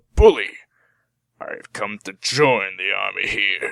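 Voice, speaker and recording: Raspy, put-on character voice at a moderate pace, with a dry, close sound and no echo. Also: man. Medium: read story. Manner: solemn, weighty.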